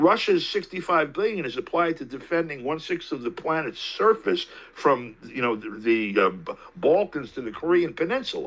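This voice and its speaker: This man speaks with an American accent at a moderate pace, his fairly high voice showing vocal fry and very wide pitch swings. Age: 60s. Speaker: political commentator. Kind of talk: interview.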